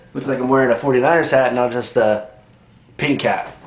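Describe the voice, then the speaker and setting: Fairly quick in pace, a man talks at medium pitch. Audible room echo and noticeable background noise come through. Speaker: fantasy football vlogger. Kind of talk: casual vlog. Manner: kept quiet, softer than usual; casual, lots of fillers.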